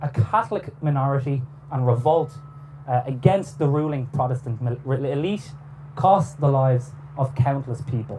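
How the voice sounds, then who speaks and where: With a dark, mellow, somewhat breathy tone, a man with a fairly high voice speaks at a moderate pace and varies his pitch in an ordinary way. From Ireland. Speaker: historian. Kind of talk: lecture. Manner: formal.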